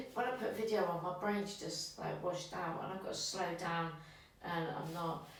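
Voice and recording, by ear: A woman talks at a moderate pace. Strong echo fills the room around her.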